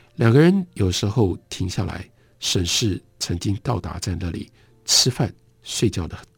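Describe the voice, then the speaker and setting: On a very clean recording with a silent background, a man talks at a fairly slow pace. His pitch is fairly low, somewhat breathy, with ordinary variation. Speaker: radio book host. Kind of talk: radio literary talk; literary audiobook reading, narrating a story excerpt. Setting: radio broadcast studio. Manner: measured, storytelling narration; formal, calm, fluent.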